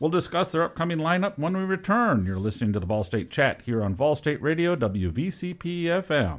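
Very wide pitch swings mark this man's fairly high voice. He talks at a fairly quick pace with hardly any pauses. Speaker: radio host. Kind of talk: radio interview. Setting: radio studio. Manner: hesitant, many filler words.

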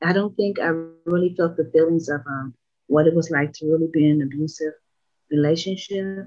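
Music plays in the background. The speech runs at a fairly quick pace with fairly even intonation. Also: woman, fairly low pitch for a woman. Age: 50s. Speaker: interview guest, abuse survivor. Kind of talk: interview, personal testimony. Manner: monotone, subdued.

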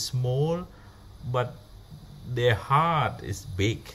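A man speaks with a Cambodian accent and a somewhat breathy voice. His pitch varies in an ordinary way, with audible room echo. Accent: Cambodian (Khmer) English. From Cambodia, rural. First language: Khmer. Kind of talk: personal story. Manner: halting.

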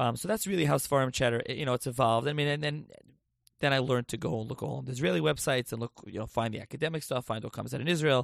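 A man with a medium pitch talks at a very fast pace, with lively intonation and vocal fry. The sound is dry and close with no echo, over a quiet background. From New Jersey, Lakewood. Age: 20s. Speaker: podcast host. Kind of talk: solo monologue, casual. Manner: halting, many fillers.

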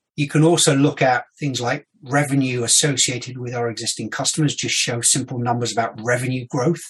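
A man with a medium-pitched, somewhat breathy voice talks at a fairly quick pace with hardly any pauses and fairly even intonation. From London, England. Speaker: customer success executive. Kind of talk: casual interview.

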